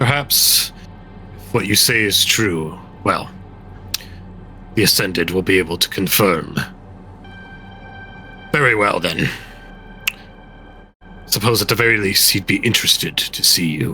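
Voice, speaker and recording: With clear music in the background, a man performs a put-on character voice at a fairly low pitch. He keeps a moderate pace, with long, frequent pauses. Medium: actual play. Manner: guarded, blunt.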